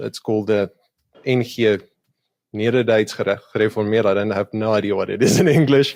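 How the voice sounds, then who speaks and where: This man talks with a South African accent at a medium pitch, his intonation fairly even. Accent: Afrikaans South African English. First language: Afrikaans. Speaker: YouTube creator doing street epistemology conversations. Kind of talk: podcast interview.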